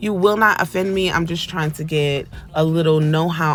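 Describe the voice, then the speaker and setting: A woman speaks at a moderate pace with a very deep, low pitch. Her pitch varies in an ordinary way, and background noise is noticeable. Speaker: nail tech YouTuber. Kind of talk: tutorial voiceover. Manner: casual with fillers.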